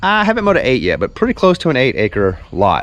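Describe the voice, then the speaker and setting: Very wide pitch swings mark this man's speech at a moderate pace. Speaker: lawn care business owner. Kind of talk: vlog narration. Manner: casual, conversational.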